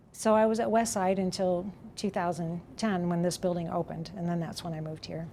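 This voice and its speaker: A woman's dark, mellow voice, fairly low in pitch with ordinary variation, at a fairly quick pace in an American accent. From Brazil, American family. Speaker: retiring ESL teacher. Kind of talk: interview testimony.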